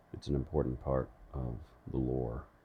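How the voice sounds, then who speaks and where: At a moderate pace, a man speaks with a very deep, low pitch and vocal fry. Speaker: ASMR audiobook reader. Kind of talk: casual intro to listeners.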